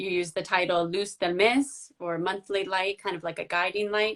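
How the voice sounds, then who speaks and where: Against a quiet background, a woman with an American accent speaks in an unremarkable speaking voice at a medium pitch and moderate pace, her intonation fairly even. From United States. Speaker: book blogger and interviewer. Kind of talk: interview. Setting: social media live video.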